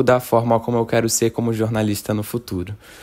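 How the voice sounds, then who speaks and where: Man with a Rio de Janeiro accent, monotone and flat, on a very clean recording with a silent background. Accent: carioca. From Rio de Janeiro, Brazil. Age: 20s. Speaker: journalism student, listener. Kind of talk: recorded listener message. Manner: hesitant, with fillers.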